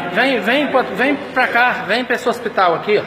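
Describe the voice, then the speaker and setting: Amid noticeable background noise, a man with an extremely high pitch speaks in a raised, projected voice. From Mato Grosso, Brazil. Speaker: citizen filming a hospital. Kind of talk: angry selfie video rant. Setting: hospital emergency room corridor. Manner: loud; repetitive. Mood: outraged, insulting. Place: hall. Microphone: phone near.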